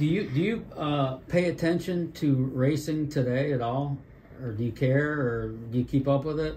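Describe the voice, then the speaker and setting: Moving at a moderate pace, the man has an unremarkable speaking voice. Fairly high in pitch, it varies in an ordinary way. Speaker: history video host. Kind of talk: interview questions.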